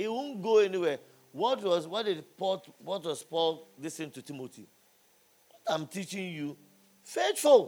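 A man speaks in an animated tone with lively intonation. His pitch sits high. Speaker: preacher. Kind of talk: sermon to a live youth audience. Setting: church or conference hall with live audience. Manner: animated, call-and-response, loud and exhorting the crowd; humorous, jokes and laughs between points.

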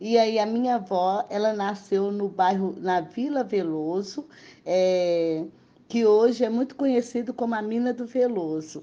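At a fairly slow pace, a woman with a medium pitch and a dark, mellow tone speaks with ordinary pitch variation. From Belo Horizonte, Minas Gerais, Brazil. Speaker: quilombo community leader. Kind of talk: interview testimony. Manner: halting, many fillers.

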